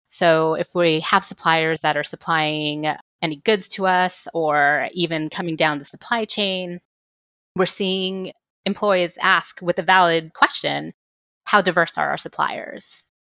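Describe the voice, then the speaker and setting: A woman with an American accent, her fairly low voice bright and sharp in tone, fairly even in intonation and moderate in pace, in a very clean recording with a silent background and a dry, close sound with no echo. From South Texas, Rio Grande Valley. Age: 40s. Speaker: program manager. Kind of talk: interview conversation.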